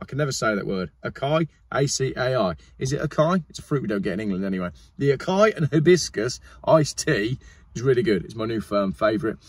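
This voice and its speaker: A man talks at a very fast pace with vocal fry. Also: dry sound with no echo. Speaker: car vlogger. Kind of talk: casual sponsor read vlog chat. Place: car. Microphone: phone near.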